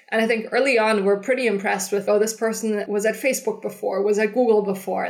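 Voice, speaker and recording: A woman with a fairly high pitch speaks at a fairly quick pace, her intonation fairly even. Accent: German. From Germany. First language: German. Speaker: startup founder and CEO. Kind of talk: interview. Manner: halting.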